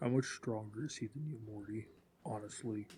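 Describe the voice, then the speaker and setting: Putting on a character voice, a man talks at a moderate pace with a medium pitch. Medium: actual play. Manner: blunt, direct.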